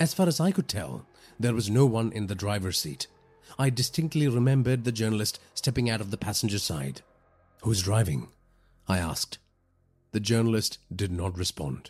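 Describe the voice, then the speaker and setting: This man's pitch is fairly low, with very wide swings, and his voice is somewhat breathy. He keeps a moderate pace broken by long, frequent pauses. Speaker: horror podcast narrator. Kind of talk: first-person horror story narration, scripted and read aloud. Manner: measured, ominous storytelling pace building dread.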